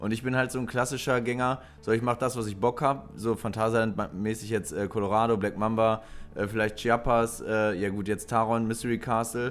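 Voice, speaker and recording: A man at a medium pitch and moderate pace, with ordinary pitch variation and music in the background. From western Germany, Lower Rhine (Krefeld area). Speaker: podcast co-host. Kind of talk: casual chat.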